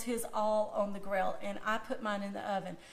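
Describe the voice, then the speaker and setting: A woman with a Southern US accent, fairly high in pitch, her intonation fairly even amid audible room echo. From US South. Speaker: food blogger. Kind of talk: cooking demonstration. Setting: Facebook Live video. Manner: casual, chatty.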